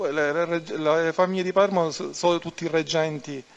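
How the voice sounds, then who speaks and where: Here a man has an unremarkable speaking voice, fairly high in pitch and with fairly even intonation. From Palermo, Sicily; Sicily. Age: 30s. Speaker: mafia turncoat witness; witness. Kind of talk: court testimony. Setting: courtroom. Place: hall.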